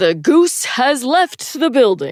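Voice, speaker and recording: A loud, put-on character voice that sounds female uses a fairly high pitch with very wide pitch swings. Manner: loud, announcer-like.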